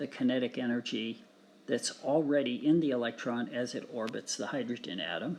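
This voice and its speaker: A man with an unremarkable speaking voice at a moderate pace. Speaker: physics teacher. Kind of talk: tutorial.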